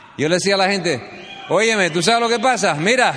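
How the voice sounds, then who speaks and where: A man with a high-pitched voice speaks in an animated tone. Audible room echo and noticeable background noise surround him. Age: 50s. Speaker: business speaker. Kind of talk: motivational speech.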